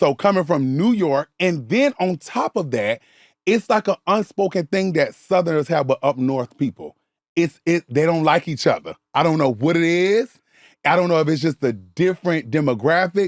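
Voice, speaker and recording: A man's high pitch with lively intonation and an animated tone, on a very clean recording with a silent background and a dry, close sound with no echo. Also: moderate pace. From US South, Savannah, Georgia (born in the Bronx). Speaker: social media content creator. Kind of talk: casual interview chat.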